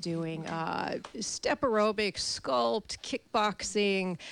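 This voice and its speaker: A woman with an American accent has an unremarkable speaking voice, medium in pitch with ordinary pitch variation. The recording is very clean with a silent background. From Chicago. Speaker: fitness instructor. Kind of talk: casual chat. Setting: studio.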